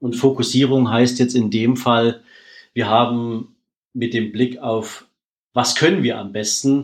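This man's delivery is very slow. His voice sits at a medium pitch and rises and falls in an ordinary way. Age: 40s. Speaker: wealth manager, former bank employee. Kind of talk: interview.

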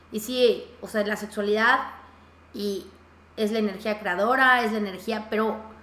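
A woman with a fairly high pitch speaks at a very slow pace. Audible room echo and noticeable background noise surround her voice. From Mexico, Yucatán. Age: 30s. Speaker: podcast host. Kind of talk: casual interview. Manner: animated.

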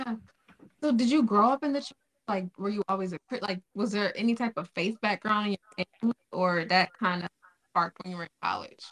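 Using a plain, everyday voice, a woman of medium pitch speaks at a fairly quick pace with ordinary pitch variation. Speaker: podcast host. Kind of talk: podcast interview. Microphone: echoey audio.

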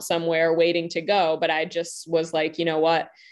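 A woman's fairly low-pitched voice at a fairly quick pace, against a quiet background. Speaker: love empowerment coach. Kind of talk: panel discussion in a live online event. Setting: video call with online audience.

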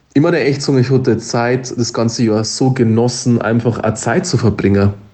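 A man's medium-pitched, somewhat breathy voice at a moderate pace, with fairly even intonation and very even loudness. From Upper Palatinate, Bavaria. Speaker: podcast co-host. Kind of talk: casual chat.

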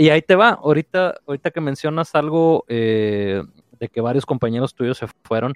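This man has an ordinary speaking voice, fairly high in pitch, with ordinary pitch variation. The sound is dry and close, with no echo. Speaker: podcast host. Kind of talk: casual chat. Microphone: connection problems, audio may cut out.

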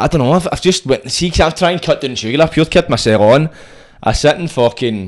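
A fairly high-pitched man with a Scottish accent, with lively intonation and a fairly quick pace. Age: 30s. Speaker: podcast host. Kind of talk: casual chat.

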